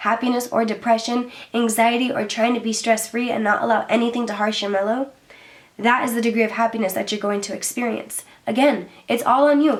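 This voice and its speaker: A woman's fairly high-pitched voice at a very fast pace, with noticeable background noise. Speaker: lifestyle vlogger. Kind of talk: casual talking-head video. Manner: animated.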